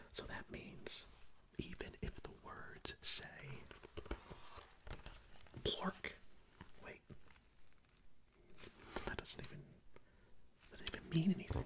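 Whispering and soft-spoken, a man talks at a very slow pace with long, frequent pauses over loud background noise. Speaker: streamer reading a book aloud. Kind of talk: read-aloud performance with asides. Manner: soft whisper into close mic. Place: home room. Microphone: studio mic.

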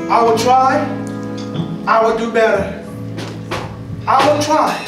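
A man's fairly slow speech in strong room echo, with clear music in the background. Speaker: preacher. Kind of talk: sermon with altar call at a church service. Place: church. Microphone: pa.

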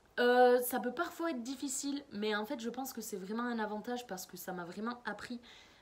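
Her pitch high, a woman talks at a moderate pace. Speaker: master's student and language assistant. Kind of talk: prepared talk. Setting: remote, prerecorded or video. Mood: friendly, earnest. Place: home room. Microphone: webcam.

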